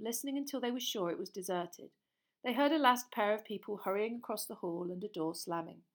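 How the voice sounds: A natural reading voice carries lively intonation while the background stays quiet.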